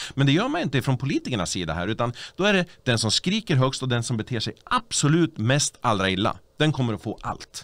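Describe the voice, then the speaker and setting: His pitch moves across a very wide range. The man speaks very fast. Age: 40s. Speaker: party official and local politician; local politician. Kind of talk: casual chat. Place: studio. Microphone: studio mic.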